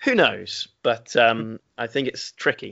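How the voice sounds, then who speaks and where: A moderate pace with an English accent. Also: man. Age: 30s. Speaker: games company executive. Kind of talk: interview.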